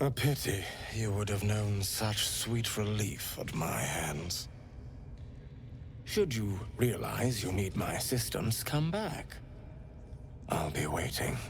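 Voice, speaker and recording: Over loud background noise, a man puts on a character voice, fairly low in pitch. He talks fairly slowly, with long, frequent pauses. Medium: video game. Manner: soft-spoken, courteous, creepy.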